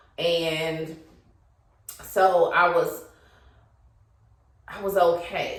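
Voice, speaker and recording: The speech comes at a very slow pace with long, frequent pauses. Room echo is audible. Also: woman. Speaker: YouTuber. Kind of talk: casual monologue. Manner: hesitant.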